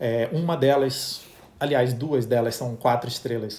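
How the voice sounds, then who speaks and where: A man talks in a somewhat breathy voice with ordinary pitch variation. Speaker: travel agent hosting a livestream. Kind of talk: live Q&A stream. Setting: Instagram live.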